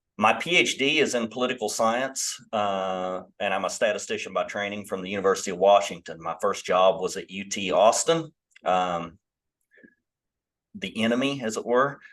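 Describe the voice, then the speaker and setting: A man with a West Virginia accent speaks against a quiet background. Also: moderate pace. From West Virginia, New River Gorge area. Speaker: professor. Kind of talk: online panel discussion.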